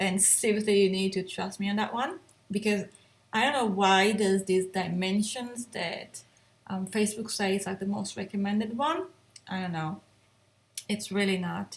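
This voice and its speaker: A woman with a non-native accent speaks at a moderate pace in a medium-pitched, somewhat breathy voice with ordinary pitch variation. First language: not English. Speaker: photographer and editing tutor. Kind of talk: tutorial. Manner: casual, hesitant with fillers.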